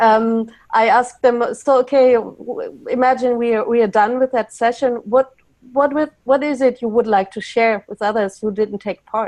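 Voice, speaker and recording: A woman with a German accent speaks at a moderate pace. Her voice is high, with fairly even intonation. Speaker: facilitator, panelist. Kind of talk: webinar panel discussion. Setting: online webinar. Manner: hesitant, repeating words.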